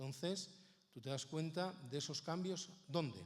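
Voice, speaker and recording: A man talks at a fairly slow pace with a Spanish accent. Audible room echo surrounds the voice. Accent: Peninsular Spanish. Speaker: Bible society speaker. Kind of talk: conference talk.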